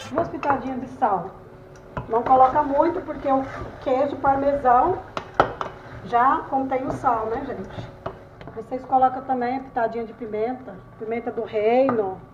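Over light background noise, a woman with a high pitch speaks at a fairly slow pace with ordinary pitch variation and long, frequent pauses. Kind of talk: cooking tutorial chat. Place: kitchen. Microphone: phone near.

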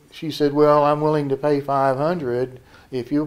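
A man at a moderate pace in a monotone, flat intonation. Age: 60s. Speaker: dating show contestant. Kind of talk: interview answer. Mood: reflective, complaining about scams. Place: office. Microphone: handheld.

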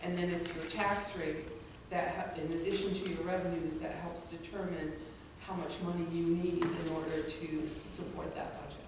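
Strong room echo and noticeable background noise surround a voice with monotone, flat intonation. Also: woman. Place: hall. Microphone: podium.

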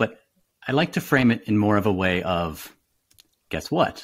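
Against a quiet background, a man with a fairly low pitch uses lively intonation. He goes at a fairly slow pace, with long, frequent pauses. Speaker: physician; podcast guest. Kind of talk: casual chat. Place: home room. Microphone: studio mic.

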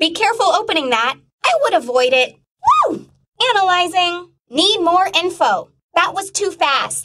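At a moderate pace, a woman does a cartoonish character voice, extremely high in pitch with lively intonation. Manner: upbeat.

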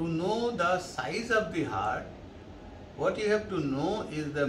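A man talks at a fairly slow pace. Noticeable background noise sits under his voice. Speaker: doctor teaching radiology. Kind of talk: lecture. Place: office.

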